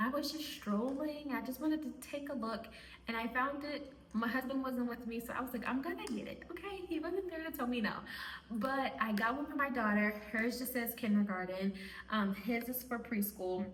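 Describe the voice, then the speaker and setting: There is audible room echo as a woman speaks in a high voice with ordinary pitch variation. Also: moderate pace. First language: Spanish. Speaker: homeschooling mom and video creator. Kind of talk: casual talk to camera.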